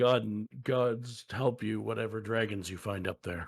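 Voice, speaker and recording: A man puts on a raspy character voice at medium pitch, keeping a fairly even intonation and a moderate pace. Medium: actual play. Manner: dry, skeptical.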